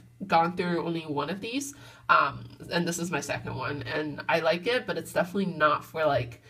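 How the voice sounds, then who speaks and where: A woman with an unremarkable speaking voice talks at a fairly quick pace with a fairly low pitch. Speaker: beauty vlogger. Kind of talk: casual vlog chat. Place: bathroom. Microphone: phone near.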